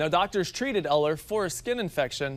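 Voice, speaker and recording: At a moderate pace, the voice is heard with music in the background. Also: man. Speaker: TV news anchor. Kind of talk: TV news read.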